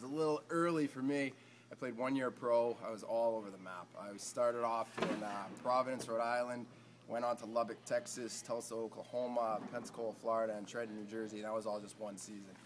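With an American accent, the speaker talks at a fairly quick pace with fairly even intonation and big swings in loudness over noticeable background noise. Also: man, medium pitch for a man. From Boston area, US. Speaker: pro ice hockey player. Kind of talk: casual interview.

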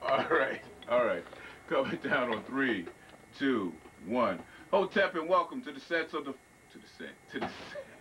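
Loudness swings widely as a man speaks at a moderate pace, with long, frequent pauses. Light background noise sits behind him. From Long Island, New York. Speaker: TV show host. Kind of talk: interview. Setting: studio. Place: studio. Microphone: handheld.

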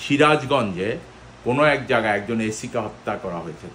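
A man speaks at a medium pitch with a bright, sharp tone over light background noise. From Bangladesh. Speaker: diaspora commentator, former army officer; diaspora commentator. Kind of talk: video monologue. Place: home room.

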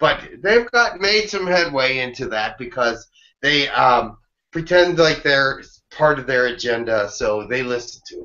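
Against a quiet background, a man speaks at a fairly slow pace with big swings in loudness. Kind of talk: conversational Q&A answers. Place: home room. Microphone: webcam.

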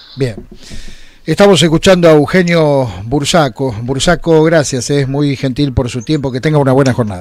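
At a moderate pace, a man with a fairly high pitch and ordinary pitch variation speaks in a dry sound with no echo. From Argentina. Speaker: radio host. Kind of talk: radio interview. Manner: formal. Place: studio.

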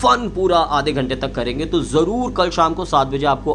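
A man speaks at a moderate pace with lively intonation while light background noise runs underneath. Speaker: video creator. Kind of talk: casual vlog announcement. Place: home room.

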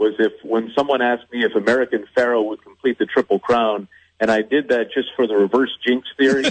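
A man with an ordinary speaking voice talks fairly quickly at a medium pitch. His intonation is fairly even. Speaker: horse race caller, track announcer. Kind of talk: radio interview answer.

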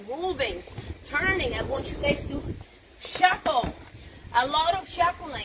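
Loud background noise fills the clip. A woman talks over it at a fairly slow pace. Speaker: boxing fitness instructor. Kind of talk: live workout coaching. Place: garden. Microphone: camera far.

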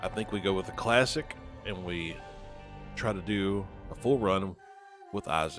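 Music sits in the background as a man talks with a Southern US accent. His pitch is fairly low and varies in an ordinary way. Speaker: gaming YouTuber. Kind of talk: casual gameplay commentary.

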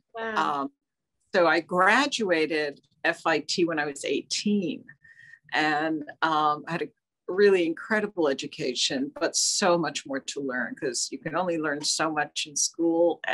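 Against a quiet background, a speaker with an American accent talks at a fairly slow pace with lively intonation. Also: woman, fairly low pitch for a woman. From New Jersey. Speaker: fashion designer and artist; guest. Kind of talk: interview. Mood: warm, reflective. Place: home room. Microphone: video call.

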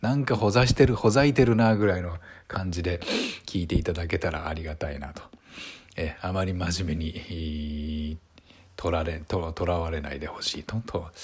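A man with a very deep, low, somewhat breathy voice speaks at a moderate pace with ordinary pitch variation and big swings in loudness. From Japan, Saitama. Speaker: actor and YouTuber. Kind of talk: casual monologue to camera. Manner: hesitant with many fillers; polite, formal.

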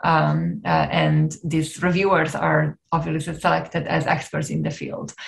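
Against a quiet background, a woman with an Italian accent speaks at a fairly slow pace with hardly any pauses. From Italy. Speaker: neuroscientist and nonprofit co-founder; presenter. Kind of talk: webinar presentation. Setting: video call. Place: home room. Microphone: webcam.

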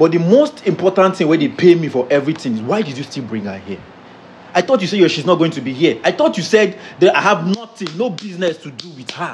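A man speaks with a high pitch and big swings in loudness. Light background noise can be heard. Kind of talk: acted dramatic complaint. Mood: agitated, pleading. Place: home room.

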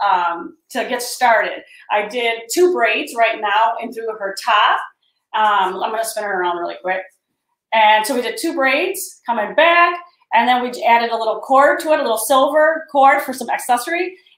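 The room echo is audible. The background is quiet. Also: woman. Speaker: hair stylist educator. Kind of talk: tutorial. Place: studio.

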